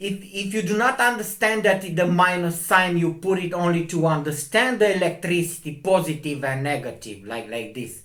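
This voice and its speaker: A man with a high voice talks at a moderate pace, his intonation lively and his speech running on with hardly any pauses. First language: not English. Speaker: astronomy video maker. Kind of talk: video commentary. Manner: halting.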